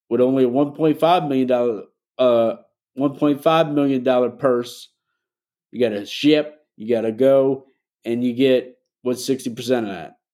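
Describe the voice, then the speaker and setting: A man talks at a moderate pace with medium pitch and fairly even intonation. His tone is dark and mellow, on a very clean recording with a silent background. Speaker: horse racing show host. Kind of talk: opinion monologue, mini rant to camera. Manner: emphatic, impassioned, pushing hard for his point.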